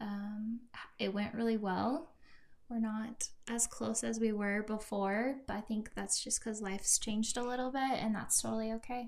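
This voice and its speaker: A woman with an American accent, monotone and flat, at a moderate pace. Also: fairly high pitch for a woman. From US Midwest. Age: 20s. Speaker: friend of the host. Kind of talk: casual chat.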